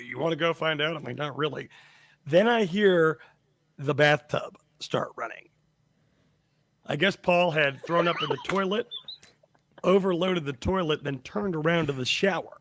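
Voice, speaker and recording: A high-pitched man speaks at a moderate pace with ordinary pitch variation. His loudness swings widely, and he takes long, frequent pauses. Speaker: podcast co-host. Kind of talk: casual chat, storytelling.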